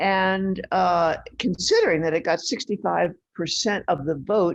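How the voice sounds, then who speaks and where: The voice has vocal fry. Its intonation is lively. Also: woman. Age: 80s+. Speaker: right-to-die advocate presenter. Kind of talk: lecture.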